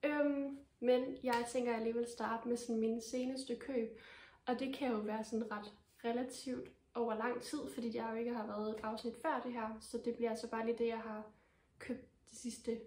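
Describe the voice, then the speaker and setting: Monotone, flat intonation runs at a moderate pace over noticeable background noise. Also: woman, fairly high pitch for a woman. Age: 20s. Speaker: knitting podcaster. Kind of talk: casual vlog talk. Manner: hesitant, many fillers.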